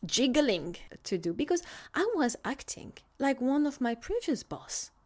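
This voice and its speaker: With a French accent, a woman's pitch swings very widely in a very clean recording with a silent background. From France. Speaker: food scientist consultant. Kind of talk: solo podcast monologue.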